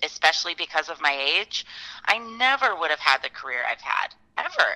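A woman with an Upper Midwest accent speaks at a moderate pace with a fairly low pitch and a bright, sharp tone. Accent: Upper Midwest American. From Fargo, North Dakota. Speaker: professional musician. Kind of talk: casual interview.

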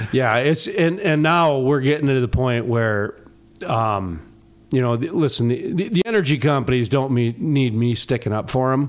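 Keeping his loudness very even, a man speaks at a medium pitch and a moderate pace with lively intonation. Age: 40s. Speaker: radio show host. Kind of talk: casual chat. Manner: animated.

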